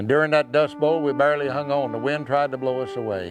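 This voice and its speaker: The speaker has a Western American accent. Music plays in the background. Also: man. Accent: Western American drawl. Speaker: cowboy poet. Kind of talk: poetry reading.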